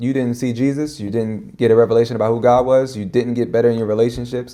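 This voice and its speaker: Rattling along at a very fast pace, a man with a dark, mellow tone speaks at medium pitch with fairly even intonation. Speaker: pastor / minister. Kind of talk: casual chat. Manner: talks fast when casual.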